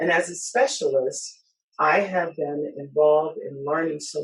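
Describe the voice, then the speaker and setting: Somewhat breathy and very deep in pitch, a woman speaks at a moderate pace. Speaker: aviation organization chair. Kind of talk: conference talk.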